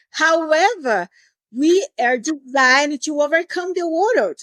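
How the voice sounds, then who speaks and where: A woman speaks in a Portuguese accent with lively intonation. The sound is dry and close, with no echo. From Brazil, Recife. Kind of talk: podcast interview.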